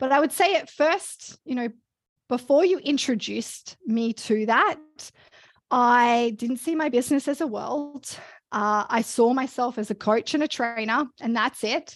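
A woman with an Australian accent talks at a fairly slow pace. Her pitch is high with ordinary variation, on a very clean recording with a silent background. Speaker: fitness coach and business founder. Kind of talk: casual interview conversation.

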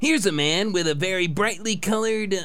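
A man is speaking. Clear background noise can be heard. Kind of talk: cheesy broadcast patter. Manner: chirpy, jokey.

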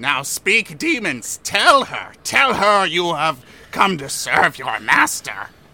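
Putting on a character voice, a man speaks in a high pitch with very wide pitch swings. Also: fairly slow pace. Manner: imperious, shouting commands.

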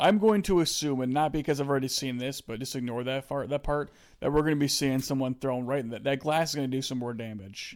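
A man with an American accent talks very fast, with hardly any pauses, at a medium pitch and ordinary pitch variation. The recording is very clean, with a silent background. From USA. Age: 20s. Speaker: podcast co-host. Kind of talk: casual chat.

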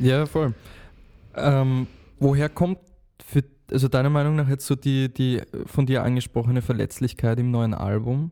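A man speaks in an Austrian accent with a dark, mellow tone and fairly even intonation. He takes long, frequent pauses. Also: medium pitch for a man, moderate pace. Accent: Austrian pronunciation. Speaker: podcast host. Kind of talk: casual interview.

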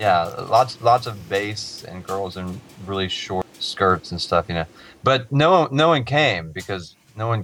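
In a plain, everyday voice, a man talks at a fairly slow pace and fairly low pitch, with lively intonation and big swings in loudness. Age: 30s. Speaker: musician guest. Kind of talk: casual chat.

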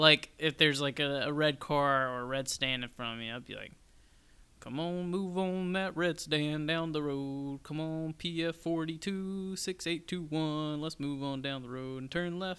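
A man with an ordinary speaking voice talks at a fairly slow pace, his fairly high pitch held in fairly even intonation. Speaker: podcast co-host. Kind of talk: casual chat.

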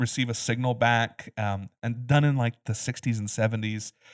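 A man with a normal speaking voice and medium pitch talks at a fairly quick pace, his intonation fairly even. The sound is dry and close with no echo, in a very clean recording with a silent background. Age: 30s. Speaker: film podcast co-host. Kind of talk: casual chat.

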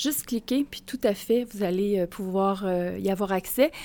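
Using an unremarkable speaking voice, a woman keeps a moderate pace and ordinary pitch variation. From Mauricie, Quebec. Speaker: college educator. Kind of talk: live podcast interview before audience. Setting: stage with audience.

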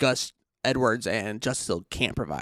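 On a very clean recording with a silent background, a man speaks at a moderate pace in a plain, everyday voice of medium pitch. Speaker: fantasy football podcast co-host. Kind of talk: casual banter podcast.

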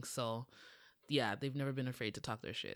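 On a very clean recording with a silent background, a woman with a Toronto accent speaks in a very deep, low pitch with ordinary pitch variation. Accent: Canadian (Toronto) English. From Toronto, Canada. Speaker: writer and content creator. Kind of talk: casual chat. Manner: hesitant, many fillers.

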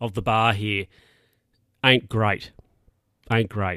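This man has a fairly low pitch and a bright, sharp tone. He talks at a moderate pace in a very clean recording with a silent background. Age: 60s. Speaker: podcast host. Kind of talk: casual monologue. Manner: rambling, halting.

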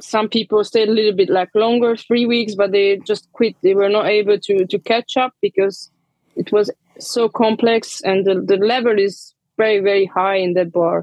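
Speaking in a Hungarian accent at a moderate pace, this voice keeps a fairly even intonation and very even loudness. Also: woman, medium pitch for a woman. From Transylvania, Hungarian-speaking region of Romania. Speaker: bar manager, bartender. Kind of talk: interview. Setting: remote call.

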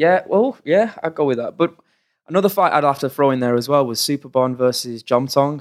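An unremarkable speaking voice, this man's is fairly high in pitch, with ordinary pitch variation and a fairly quick pace. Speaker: fight commentator. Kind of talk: casual chat. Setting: recorded in Thailand.

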